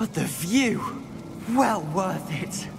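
Over loud background noise, someone performs a put-on character voice at a middle pitch.

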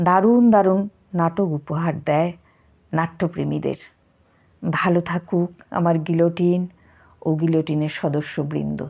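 A woman's plain, everyday voice, fairly low in pitch, with fairly even intonation and very even loudness. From North Bengal, India (Mathabhanga, Cooch Behar). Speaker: poetry reciter. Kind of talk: spoken tribute monologue.

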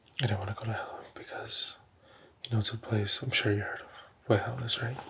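A man whispers, soft-spoken throughout. Background noise is noticeable. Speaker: ASMR creator. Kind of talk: ASMR roleplay. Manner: whispered, soft-spoken. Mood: earnest, calm, religious. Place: home room. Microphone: studio mic.

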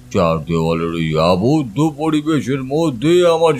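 A man at a fairly slow pace with very wide pitch swings, faint music in the background. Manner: warm, reflective, storytelling.

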